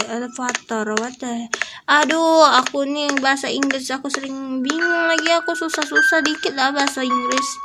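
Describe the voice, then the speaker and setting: A raised, projected voice comes through over noticeable background noise. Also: woman. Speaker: gaming youtuber. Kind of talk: let's play commentary. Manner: animated.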